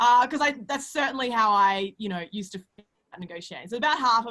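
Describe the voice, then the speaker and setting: Speaking very fast with lively intonation, a woman with an Australian accent uses a fairly high pitch. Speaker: CEO and panel moderator. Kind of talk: webinar panel moderation.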